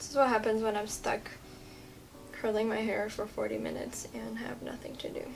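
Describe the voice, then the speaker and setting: There is noticeable background noise and audible room echo as a woman with an American accent talks at a fairly quick pace. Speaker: beauty vlogger. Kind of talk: tutorial. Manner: casual, chatty.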